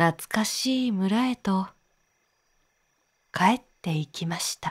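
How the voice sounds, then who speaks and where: A woman's somewhat breathy voice at a medium pitch with ordinary pitch variation, at a very slow pace, dry and close with no echo in a very clean recording with a silent background. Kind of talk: sleep story. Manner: soft-spoken, slow.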